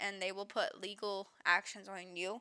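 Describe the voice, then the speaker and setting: A woman speaks with an American accent in a bright, sharp tone. She goes at a fairly slow pace. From US South, Louisiana. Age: 20s. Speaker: streamer. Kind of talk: emotional personal statement on stream.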